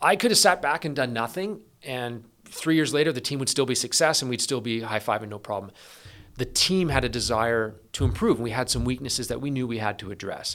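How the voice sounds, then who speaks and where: This man has a normal speaking voice with a Canadian accent at a medium pitch. His intonation is lively and his pace fairly quick. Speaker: police SWAT commander. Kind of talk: interview conversation.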